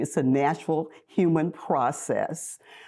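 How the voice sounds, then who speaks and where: A woman speaks in an American accent. Her pitch is very deep and low, her tone dark and mellow. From US South, North Mississippi. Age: 70s. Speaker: activist and social worker. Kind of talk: interview.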